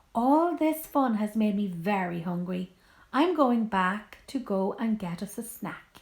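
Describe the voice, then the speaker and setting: A put-on, squeaky female character voice at medium pitch, fairly slow, with lively intonation. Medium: read story.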